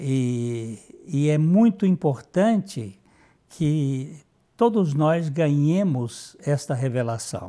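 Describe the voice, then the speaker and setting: Very slow, fairly high-pitched male speech with a dark, mellow tone and lively intonation, on a very clean recording with a silent background. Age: 70s. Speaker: pastor. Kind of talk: sermon.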